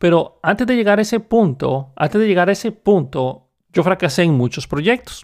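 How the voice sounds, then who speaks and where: A man speaks in a high voice with lively intonation. The recording is very clean, with a silent background. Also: moderate pace. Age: 30s. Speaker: podcast host, software developer. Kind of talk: solo monologue.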